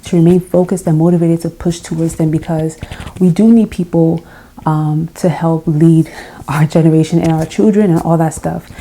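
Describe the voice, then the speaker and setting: Soft-spoken and fairly quick, a woman talks at a fairly low pitch with fairly even intonation against noticeable background noise. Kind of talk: casual talk to camera.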